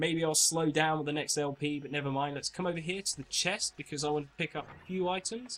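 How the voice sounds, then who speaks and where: Fairly high pitch for a man, with ordinary pitch variation and a fairly quick pace. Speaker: gaming video creator. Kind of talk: gameplay commentary. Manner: fast; casual, rambling with self-corrections.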